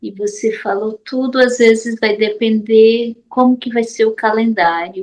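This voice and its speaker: A woman speaks with hardly any pauses at a fairly slow pace, her fairly high voice keeping fairly even intonation. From Paraíba, Brazil. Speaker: study group participant. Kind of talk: online discussion question.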